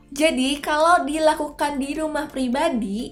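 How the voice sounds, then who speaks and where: With music in the background, a woman speaks very slowly in an upbeat tone with ordinary pitch variation. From Indonesia. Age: 20s. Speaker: beauty vlogger. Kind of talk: casual talk to camera.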